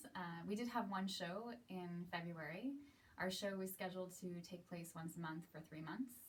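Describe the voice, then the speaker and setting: Somewhat breathy, a woman with an American accent talks at a moderate pace. Her medium pitch shows ordinary variation. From US, Seattle. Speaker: aerialist and cabaret performer. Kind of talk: casual monologue to camera.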